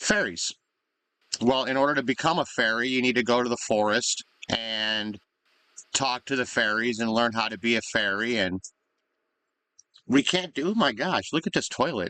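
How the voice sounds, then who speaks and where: Mumbling with long, frequent pauses, a man speaks at a moderate pace and medium pitch with ordinary pitch variation, his tone bright and sharp in a dry, close sound with no echo. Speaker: gaming video creator. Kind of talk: gameplay commentary. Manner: halting.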